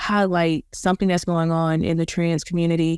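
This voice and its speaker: The woman has a normal speaking voice, fairly low in pitch, at a moderate pace, with a dry, close sound and no echo. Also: very clean recording, silent background. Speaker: podcast host. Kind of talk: casual chat.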